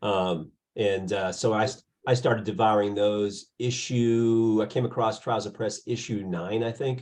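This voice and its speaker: Against a quiet background, a man with an unremarkable speaking voice talks at a fairly slow pace with a fairly low pitch and fairly even intonation. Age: 60s. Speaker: podcast interviewer, music label founder. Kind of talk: casual interview.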